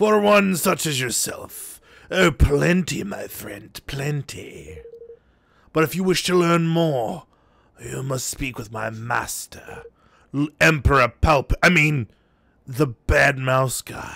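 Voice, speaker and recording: A man puts on a character voice, fairly high-pitched and raspy, speaking at a fairly slow pace with lively intonation and big swings in loudness. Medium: game stream. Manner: oily, smooth-talking.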